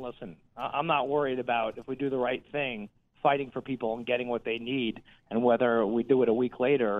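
A man with an American accent talks at a fairly quick pace in an ordinary speaking voice, his pitch sitting in the medium range. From New Jersey. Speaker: congressman. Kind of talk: interview.

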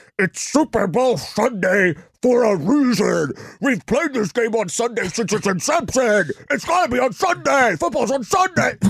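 Putting on a character voice, a man speaks at an extremely high pitch with a grumpy tone. His pace is moderate, and the recording is very clean with a silent background. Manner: grumpy, complaining.

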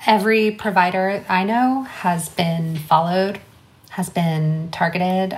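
A somewhat breathy woman's voice at medium pitch, with an American accent, ordinary pitch variation and a fairly slow pace. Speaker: abortion fund director. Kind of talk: interview.

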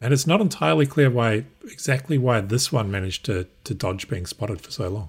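With a New Zealand accent, a man speaks at a medium pitch and a fairly quick pace. His voice is somewhat breathy. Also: lively intonation. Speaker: guest co-host, security professional. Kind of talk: casual news discussion. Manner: hesitant, frequent repeats and fillers.

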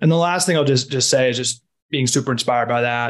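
A man with an American accent speaks at medium pitch. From Washington D.C., US. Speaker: health entrepreneur, former food and pharma consultant. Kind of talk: interview.

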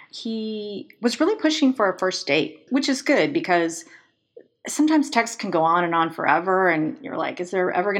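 Using lively intonation, a woman talks at a moderate pace in an unremarkable speaking voice. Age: 50s. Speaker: podcast guest telling dating story. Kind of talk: casual interview storytelling.

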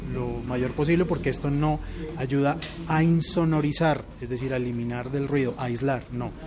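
A man talks at a fairly high pitch with ordinary pitch variation. Noticeable background noise and audible room echo surround him. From Bogotá, Colombia (born Puerto Rico). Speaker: radio announcer. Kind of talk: casual chat.

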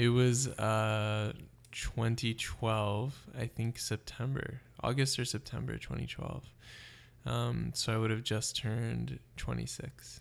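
In a very clean recording with a silent background, a man talks at a very slow pace. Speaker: urban planner. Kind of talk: interview.

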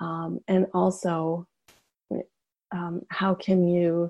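A woman speaks with a fairly low pitch. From Yukon, Canada. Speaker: writer and memoir teacher. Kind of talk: casual interview chat.

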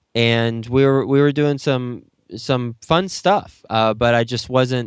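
The pace is very slow. A man speaks at a medium pitch. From Texas. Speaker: real estate investor and podcast host. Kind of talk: interview.

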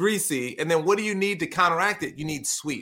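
A man's raised, projected voice with a bright, sharp tone and an American accent. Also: very clean recording, silent background. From Brooklyn, New York City. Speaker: professional speaker and author. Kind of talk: casual interview chat.

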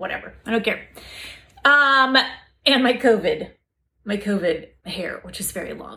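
A woman's bright, sharp, animated voice with ordinary pitch variation. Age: 40s. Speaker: house flipping coach. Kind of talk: casual monologue from a livestream.

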